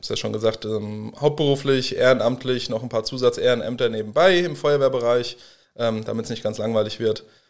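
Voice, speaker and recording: A man's ordinary speaking voice at medium pitch, fairly quick, with ordinary pitch variation and big swings in loudness. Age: 30s. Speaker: professional firefighter. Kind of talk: interview.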